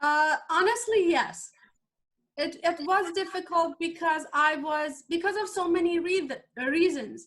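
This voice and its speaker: A woman with a Persian accent speaks at an extremely high pitch. She goes at a fairly slow pace with ordinary pitch variation. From Iran. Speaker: life coach and former chemical engineer. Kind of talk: interview. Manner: halting.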